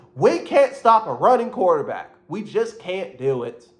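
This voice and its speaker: The speaker uses an animated tone with very wide pitch swings at a fairly slow pace. Noticeable background noise runs behind the voice. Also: man. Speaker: sports commentator. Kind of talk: casual rant.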